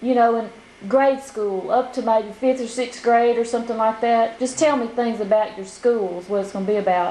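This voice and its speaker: Over noticeable background noise, a woman with a fairly high voice speaks at a moderate pace with fairly even intonation. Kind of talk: interviewer questions.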